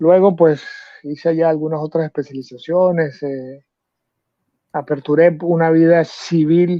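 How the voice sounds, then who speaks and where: His voice sits fairly high for a man's. He talks in a flat, monotone way. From Venezuela, San Cristóbal (Andes). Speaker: volunteer soldier. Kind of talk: interview. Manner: hesitant, many fillers.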